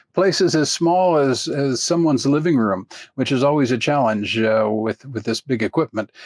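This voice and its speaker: A man speaks with a fairly high pitch and ordinary pitch variation. The background is quiet, and the sound is dry and close with no echo. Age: 60s. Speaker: chalk artist and art teacher. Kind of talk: tutorial. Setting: screen share recording on computer. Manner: hesitant, many fillers.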